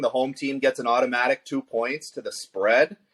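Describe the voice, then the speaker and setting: Moderately paced male speech in an American accent, with a dry, close sound and no echo. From US East Coast. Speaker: fantasy football podcast co-host. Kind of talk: casual chat. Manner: loud.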